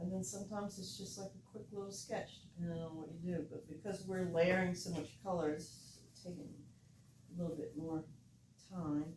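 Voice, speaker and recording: Against noticeable background noise and audible room echo, a woman with an American accent speaks in a relaxed tone at fairly low pitch and moderate pace, with fairly even intonation. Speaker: art teacher. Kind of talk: painting tutorial.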